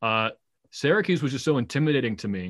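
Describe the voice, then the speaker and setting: At a fairly quick pace, a man talks in a plain, everyday voice at a medium pitch. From New England, Massachusetts. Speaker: minor league baseball broadcaster. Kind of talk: casual interview.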